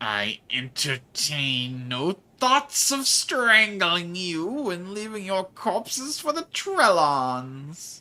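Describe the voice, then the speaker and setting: A put-on, growling character voice at middle pitch crawls along at a very slow pace with very wide pitch swings. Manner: snarling and menacing.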